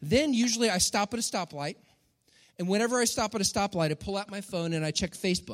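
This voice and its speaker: With an American accent, a man speaks very fast at a high pitch in an animated tone with lively intonation, on a very clean recording with a silent background. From Texas. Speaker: pastor. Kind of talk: sermon.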